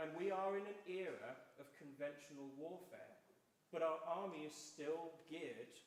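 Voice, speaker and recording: A man with a Welsh accent speaks at a fairly slow pace in a fairly high pitch for a man, with ordinary pitch variation and audible room echo. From South Wales. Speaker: election candidate. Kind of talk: public debate. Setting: church hall hustings with audience.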